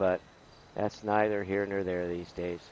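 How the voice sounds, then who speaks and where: Intonation stays fairly even here. The voice is an unremarkable speaking voice. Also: man. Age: 60s. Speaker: gaming streamer. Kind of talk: live gameplay stream chat. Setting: at home. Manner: casual, with frequent fillers.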